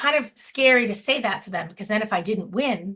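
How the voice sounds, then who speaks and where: A woman with an American accent and a lively, bouncing intonation. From Massachusetts, Boston area. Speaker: sales director. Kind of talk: guest talk on video call. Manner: fast.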